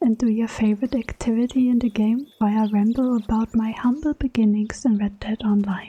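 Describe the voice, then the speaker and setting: The voice is soft-spoken and relaxed, with fairly even intonation at a moderate pace. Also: woman. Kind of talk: casual talk to camera. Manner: soft-spoken, relaxed.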